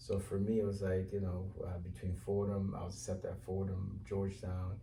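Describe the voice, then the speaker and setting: Fairly quick speech with an American accent, audible room echo and noticeable background noise. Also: man, very deep, low pitch for a man, fairly even intonation. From Cape Verde, then Bridgeport, Connecticut from childhood. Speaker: mayoral candidate. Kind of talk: interview. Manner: hesitant, many fillers.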